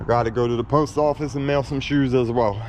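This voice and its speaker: Fairly even intonation in an American accent, over noticeable background noise. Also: man. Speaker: scrap metal collector vlogger. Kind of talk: casual vlog narration.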